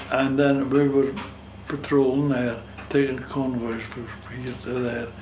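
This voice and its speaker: A man's medium-pitched monotone in a strong North East Scottish accent, fairly slow, with noticeable background noise and audible room echo. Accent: strong North East Scots dialect (Doric). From North East Scotland, Gourdon fishing village. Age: 90s. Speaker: war veteran, retired fishing skipper. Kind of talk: oral history interview. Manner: halting, hesitant.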